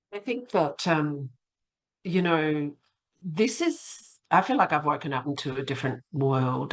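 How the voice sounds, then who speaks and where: Someone with an Australian accent speaks at a fairly slow pace. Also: woman. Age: 60s. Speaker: academic and local councillor. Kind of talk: podcast interview.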